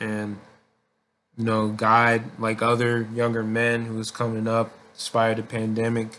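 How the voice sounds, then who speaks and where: A man speaks at medium pitch and a fairly slow pace. His tone is bright and sharp, with monotone, flat intonation. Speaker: vlogger. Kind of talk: casual monologue. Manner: halting.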